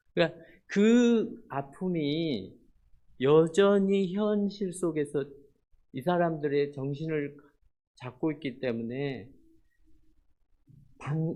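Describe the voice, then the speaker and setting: A man speaks in a fairly high voice. His intonation is lively. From South Korea. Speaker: missionary. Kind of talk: sermon. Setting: church. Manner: slow; halting.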